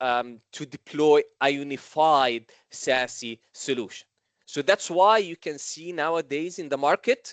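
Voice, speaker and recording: A man with a fairly high pitch and ordinary pitch variation talks at a very slow pace, with a dry, close sound with no echo over a quiet background. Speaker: vendor solutions engineer presenting. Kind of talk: technical webinar presentation. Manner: hesitant, many fillers.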